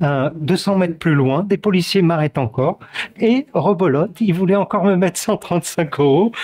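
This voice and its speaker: At a moderate pace, a man with a high voice speaks with lively intonation in a dry, close sound with no echo. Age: 60s. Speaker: protester interviewed outside court. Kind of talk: street interview testimony. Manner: hesitant, many fillers.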